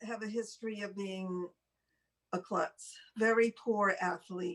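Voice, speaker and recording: A woman talks at a fairly slow pace in a plain, everyday voice. Her pitch is medium, her intonation fairly even. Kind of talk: casual conversation, telling personal anecdotes.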